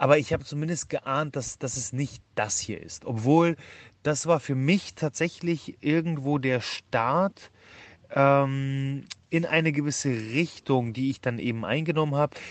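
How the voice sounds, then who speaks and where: The speaker is a man. He goes at a fairly slow pace with ordinary pitch variation. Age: 30s. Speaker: nutrition scientist and entrepreneur. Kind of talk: podcast interview. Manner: hesitant with many fillers.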